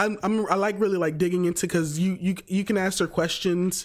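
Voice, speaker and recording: A man's high-pitched voice at a fairly slow pace, with music in the background. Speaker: crypto YouTuber. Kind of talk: casual interview chat. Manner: halting, stuttering.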